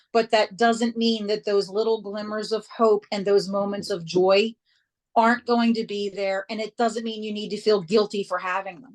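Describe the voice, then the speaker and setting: Loud and monotone, a woman with an American accent speaks at a moderate pace in a dry, close sound with no echo. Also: fairly high pitch for a woman. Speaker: hospice nurse. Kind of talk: interview.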